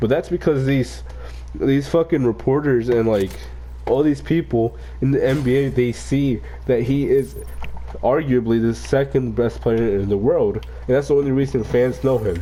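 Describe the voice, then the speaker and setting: Noticeable background noise accompanies an animated voice moving at a moderate pace. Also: man. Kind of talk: casual rant while gaming. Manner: animated, profane.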